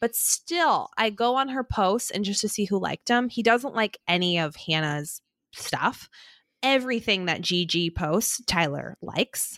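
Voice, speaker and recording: In a very clean recording with a silent background and a dry, close sound with no echo, a woman with an unremarkable speaking voice talks at a fairly slow pace and medium pitch. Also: lively intonation. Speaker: podcast co-host. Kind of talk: casual chat.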